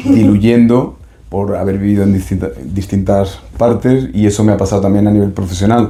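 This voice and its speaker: In a room with audible echo, a man with a fairly low pitch talks at a moderate pace with ordinary pitch variation. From Spain, Seville. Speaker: doctor and psychotherapist. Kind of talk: interview. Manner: hesitant, many fillers.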